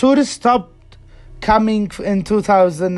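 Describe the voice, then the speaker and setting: Speech with an Arabic accent over background music. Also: man. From Yemen. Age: 20s. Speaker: reporter and fixer. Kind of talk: interview answer. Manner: voice at times shaking.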